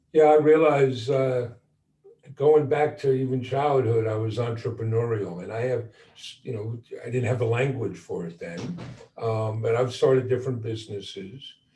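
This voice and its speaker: Ordinary pitch variation from a man at a moderate pace, over background music. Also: medium pitch for a man. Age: 60s. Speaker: entrepreneur. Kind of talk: panel discussion.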